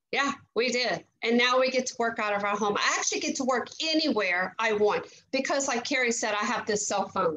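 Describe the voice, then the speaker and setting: A woman speaks fairly quickly in a high voice with a Southern US accent. Her pitch varies in an ordinary way over light background noise. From Louisiana. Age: 50s. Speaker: network marketing leader, former teacher. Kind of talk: testimony. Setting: video call. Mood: earnest, upbeat testimonial. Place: home room. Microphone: video call.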